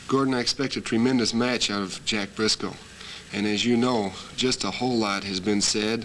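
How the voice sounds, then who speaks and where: Medium-pitched male speech at a moderate pace with fairly even intonation, amid noticeable background noise. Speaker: professional wrestler. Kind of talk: wrestling promo interview answer.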